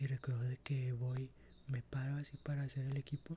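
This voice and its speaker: A soft-spoken man talks at a moderate pace in a dark, mellow tone. His voice is somewhat breathy and his intonation stays flat and monotone. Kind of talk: ASMR story time.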